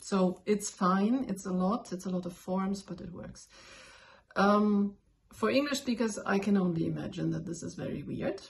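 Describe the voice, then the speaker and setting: A woman with a German accent speaks somewhat breathily at medium pitch and a moderate pace. Her loudness swings widely while her pitch varies in an ordinary way. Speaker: language learner, video blogger. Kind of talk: tutorial. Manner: casual, with fillers and self-corrections.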